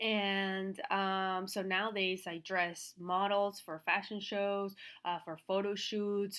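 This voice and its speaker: In a Venezuelan accent, a woman speaks at a medium pitch and a very slow pace, with monotone, flat intonation and hardly any pauses. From Venezuela, Caracas. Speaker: fashion stylist and business coach. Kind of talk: online class. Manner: casual, many fillers.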